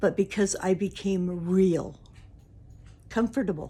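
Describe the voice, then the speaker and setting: A dark, mellow tone with vocal fry, at a very slow pace. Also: woman. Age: 60s. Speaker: YouTuber. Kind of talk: personal talk to camera.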